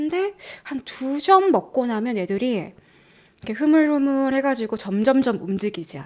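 A woman speaks at a moderate pace with a high pitch and an animated tone, with big swings in loudness and very wide pitch swings. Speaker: YouTuber living abroad. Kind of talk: casual chat. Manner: animated, laughs often.

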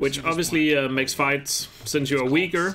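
Music plays behind a man with a slight Danish accent. His pitch is fairly high, and his pace is moderate. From Denmark. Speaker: gaming streamer. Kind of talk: live-stream commentary. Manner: casual, conversational.

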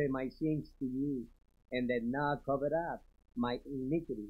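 Against a quiet background, the voice moves at a very slow pace with ordinary pitch variation. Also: man. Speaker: congregation member. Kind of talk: reading aloud. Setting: church. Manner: halting. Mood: reverent, earnest. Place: church.

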